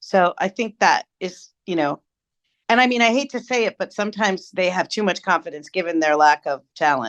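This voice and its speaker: A woman with a normal speaking voice talks at a moderate pace in a medium pitch with lively intonation, the sound dry and close with no echo over a quiet background. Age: 60s. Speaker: storytelling expert. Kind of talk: interview.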